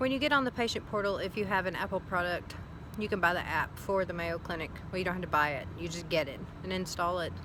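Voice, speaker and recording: The voice has a Southern US accent and a bright, sharp tone. It moves at a very fast pace with ordinary pitch variation. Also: woman, fairly low pitch for a woman. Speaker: vlogger. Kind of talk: casual video diary. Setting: outdoors.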